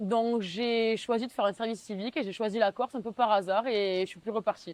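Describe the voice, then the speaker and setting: A woman with a fairly high pitch talks at a fairly quick pace with fairly even intonation, in a dry, close sound with no echo and a quiet background. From southwestern France, Tarn (Mazamet). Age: 20s. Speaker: civic service volunteer. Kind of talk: interview testimony. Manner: hesitant, with frequent fillers.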